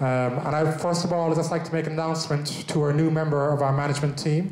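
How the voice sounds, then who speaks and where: A man's fairly high, flat, monotone voice with an Irish accent, moving at a fairly quick pace over noticeable background noise and audible room echo. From Ireland. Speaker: business owner, event host. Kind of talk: event presentation.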